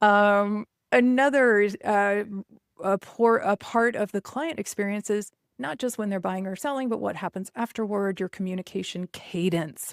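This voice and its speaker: In an unremarkable speaking voice, a woman talks at a moderate pace and medium pitch with lively intonation, recorded very cleanly against a silent background with a dry, close sound and no echo. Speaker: real estate business coach. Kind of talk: podcast monologue. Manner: many filler words.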